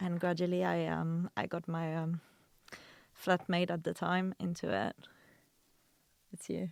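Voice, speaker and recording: A woman with a French accent speaks fairly slowly, leaving long, frequent pauses. Her fairly low voice has fairly even intonation and sounds dry and close with no echo. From France. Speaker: video producer and content creator. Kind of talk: casual chat.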